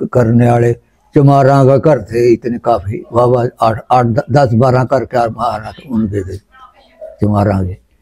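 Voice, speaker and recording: This voice has a dark, mellow tone. It is also somewhat breathy. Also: man. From Ambala district, Indian Punjab (Haryana). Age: 80s+. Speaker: partition survivor. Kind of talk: oral history interview. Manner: halting.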